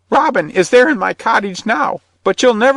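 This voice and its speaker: A man speaks in a put-on character voice. His pitch is high. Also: moderate pace. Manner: chattering, pleading, fearful.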